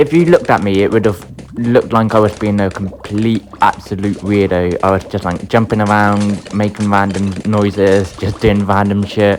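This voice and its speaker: A man speaks at a fairly low pitch with hardly any pauses, music playing in the background. His intonation stays fairly even. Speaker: gaming youtuber. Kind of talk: gameplay commentary.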